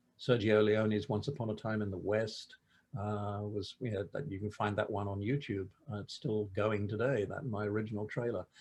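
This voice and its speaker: Somewhat breathy and fairly low in pitch, a man talks at a moderate pace with fairly even intonation over a quiet background. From England. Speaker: film director. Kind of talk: interview. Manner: halting, many fillers and repeats.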